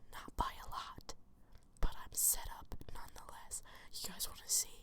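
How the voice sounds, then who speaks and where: A woman's whisper. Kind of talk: ASMR ramble, casual personal stories. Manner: whispered, soft-spoken.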